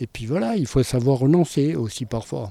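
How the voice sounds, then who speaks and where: Medium pitch from a man, dark and mellow in tone, with ordinary pitch variation. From Pyrenees, southwest France. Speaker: mountain pilot with private airstrip. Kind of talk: interview testimony.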